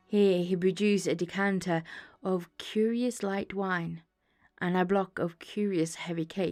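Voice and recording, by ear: Reading aloud in a natural voice, fairly even intonation, quiet background.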